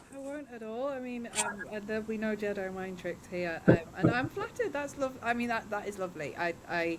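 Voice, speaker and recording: A woman with a southern English accent talks fairly quickly in a fairly high voice, with lively intonation and hardly any pauses. Noticeable background noise sits behind her. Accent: non-Northeast (southern English). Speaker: studio owner, podcasting business owner. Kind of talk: podcast interview. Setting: film studio, remote.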